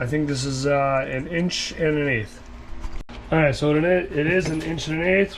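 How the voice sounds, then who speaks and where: Over noticeable background noise, a man with a fairly high pitch speaks in fairly even intonation, broken by long, frequent pauses. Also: moderate pace. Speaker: DIY mechanic. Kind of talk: casual how-to tutorial talk to camera.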